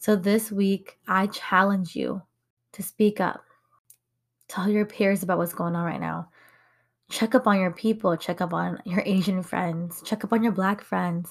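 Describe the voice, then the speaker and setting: A woman's somewhat breathy, medium-pitched voice with an American accent, monotone, flat intonation and a fairly slow pace, in a very clean recording with a silent background. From United States, Hmong American community. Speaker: podcast host. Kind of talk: personal monologue podcast. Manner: casual, conversational with fillers and laughs.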